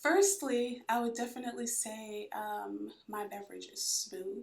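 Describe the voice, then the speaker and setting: A woman speaks softly. Her pace is very slow. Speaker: chiropractor, guest. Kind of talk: casual interview chat. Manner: soft-spoken.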